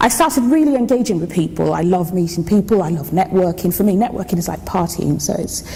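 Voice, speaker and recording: The speaker has a Yoruba accent and talks at a fairly quick pace with lively intonation. Noticeable background noise and audible room echo are present. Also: woman. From Nigeria, Lagos (to age 16). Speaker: engineer. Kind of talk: conference talk. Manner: fast.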